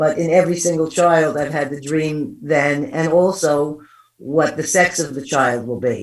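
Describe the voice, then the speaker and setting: Speaking in a New York accent, a woman with a very deep, low pitch goes at a fairly slow pace with ordinary pitch variation, and audible room echo surrounds her. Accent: East Coast US, New York. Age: 60s. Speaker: psychic medium. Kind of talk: interview storytelling.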